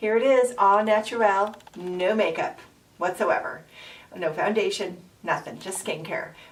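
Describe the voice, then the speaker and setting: Amid noticeable background noise, a woman talks at a fairly slow pace with ordinary pitch variation. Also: medium pitch for a woman. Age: 50s. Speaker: makeup and lifestyle vlogger. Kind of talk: casual talk to camera.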